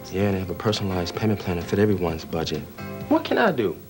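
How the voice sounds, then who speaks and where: Clear music plays behind a man with a very deep, low pitch. He talks very fast with ordinary pitch variation. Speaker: actor. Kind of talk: TV commercial read. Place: home room.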